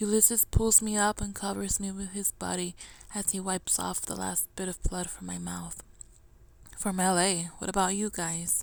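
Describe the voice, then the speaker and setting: The recording is very clean with a silent background, and the speech moves at a moderate pace. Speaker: author. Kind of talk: reading own novel excerpt aloud. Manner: stumbling, mumbling.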